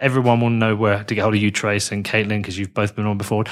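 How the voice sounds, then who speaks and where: On a very clean recording with a silent background, a man with a British accent talks very fast at a medium pitch. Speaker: podcast host. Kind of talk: interview.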